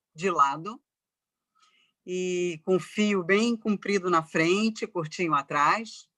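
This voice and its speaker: A bright, sharp voice moves at a very slow pace with ordinary pitch variation, in a dry, close sound with no echo. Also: woman. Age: 60s. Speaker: professor and journalist. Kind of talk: talk in online debate.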